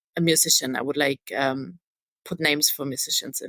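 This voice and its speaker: A woman with a German accent speaks at a moderate pace with ordinary pitch variation, in a dry, close sound with no echo. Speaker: stage manager. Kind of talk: podcast interview. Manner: hesitant, many fillers.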